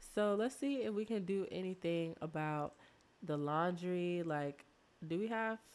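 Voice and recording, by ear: A woman speaks at a fairly slow pace in a fairly low pitch. Her tone is slightly mellow, with ordinary pitch variation.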